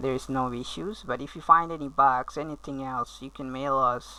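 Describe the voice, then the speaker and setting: A woman with a very deep, low pitch and a bright, sharp tone speaks at a moderate pace. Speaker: software company owner demoing app. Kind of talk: tutorial. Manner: hesitant, many fillers.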